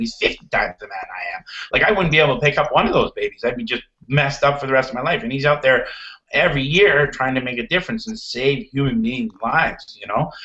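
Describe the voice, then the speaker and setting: Over noticeable background noise, a man speaks very fast at a fairly high pitch, his voice making very wide pitch swings. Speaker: real estate agent. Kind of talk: interview. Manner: loud.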